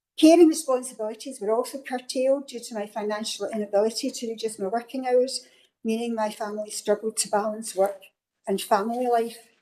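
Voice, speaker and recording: Speaking at a fairly quick pace with a Scottish accent, a woman has a fairly high pitch, a dark, mellow tone, fairly even intonation, and big swings in loudness. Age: 60s. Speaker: local councillor. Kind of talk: council meeting speech. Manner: formal.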